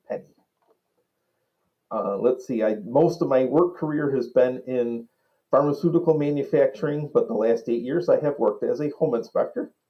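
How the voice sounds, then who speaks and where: Ordinary pitch variation and a dark, mellow tone mark this man's fairly high voice as he speaks at a moderate pace. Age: 60s. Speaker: retired-age home inspector telling life story. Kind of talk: personal interview testimony. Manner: hesitant, frequent fillers.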